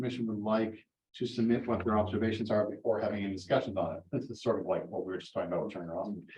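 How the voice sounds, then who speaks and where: The speech moves at a very fast pace with fairly even intonation. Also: man. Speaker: conservation commission chair. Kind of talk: public meeting discussion.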